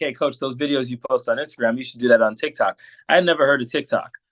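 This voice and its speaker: The speech comes at a very fast pace. The sound is dry and close with no echo, against a quiet background. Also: man. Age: 40s. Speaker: coach and political commentator. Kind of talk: casual interview chat. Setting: podcast. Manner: clear and to the point.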